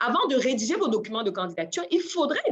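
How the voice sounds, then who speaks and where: A woman speaks loudly at a fairly quick pace, her high voice making very wide pitch swings. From Cameroon. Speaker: job search coach and adult trainer. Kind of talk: webinar presentation. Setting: online webinar. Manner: laughs often.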